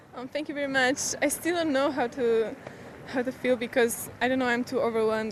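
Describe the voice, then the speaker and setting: Someone with a Polish accent speaks at a fairly quick pace with fairly even intonation over noticeable background noise. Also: woman. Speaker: junior tennis champion. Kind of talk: post-match interview. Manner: halting.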